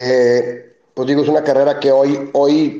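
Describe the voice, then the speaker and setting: The tone is dark and mellow, with flat, monotone intonation. The pace is fairly slow. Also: man. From Mexico City. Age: 40s. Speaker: beer company founder. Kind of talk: interview. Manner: halting, with many repetitions.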